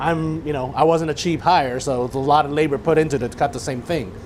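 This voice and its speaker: Over noticeable background noise, a man with a fairly high pitch speaks at a fairly quick pace with ordinary pitch variation. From Chinese background. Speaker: chef. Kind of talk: cooking demonstration talk.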